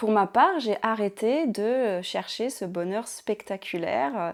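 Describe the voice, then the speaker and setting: Soft-spoken and medium in pitch, a woman talks at a very slow pace on a very clean recording with a silent background. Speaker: ASMR creator. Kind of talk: casual reflective talk to camera.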